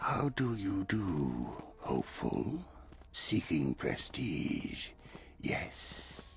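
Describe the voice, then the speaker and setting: A man's put-on character voice, fairly low and very slow, with clear background noise. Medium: video game. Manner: polished, measured.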